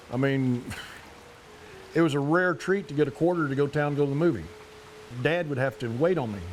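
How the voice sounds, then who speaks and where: Over music in the background, a man with an Oklahoma accent speaks at a fairly quick pace, his pitch fairly high for a man. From Park Hill, Oklahoma. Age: old. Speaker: Cherokee elder. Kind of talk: interview answer, childhood memories.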